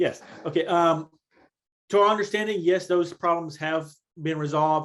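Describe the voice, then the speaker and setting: A man speaks with a high pitch at a moderate pace. His intonation stays fairly even. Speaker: conference organizer. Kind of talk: online presentation and Q&A.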